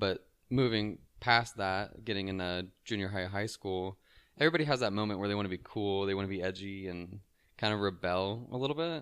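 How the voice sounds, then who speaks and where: This man's fairly low voice moves at a fairly quick pace with ordinary pitch variation. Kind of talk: casual interview chat. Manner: nervous, anxious.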